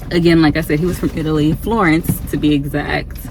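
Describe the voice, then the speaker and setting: Speaking with an American accent, a woman is heard against noticeable background noise. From Ohio, US Midwest. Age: 30s. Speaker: travel vlogger. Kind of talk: casual vlog talk to camera. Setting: in a car. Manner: casual with many fillers (um, like).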